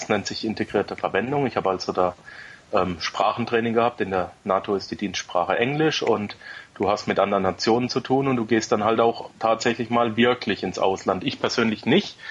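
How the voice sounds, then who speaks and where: Pitch moves in an ordinary way here. It is a plain, everyday voice. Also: man, medium pitch for a man, fairly quick pace. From Germany. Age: 30s. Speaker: podcaster, former soldier. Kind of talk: casual interview chat.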